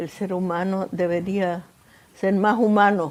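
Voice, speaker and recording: Speaking at a very slow pace, a woman has a fairly low pitch and a dark, mellow tone. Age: 90s. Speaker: Holocaust survivor. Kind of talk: interview testimony. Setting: in-person interview. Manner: halting.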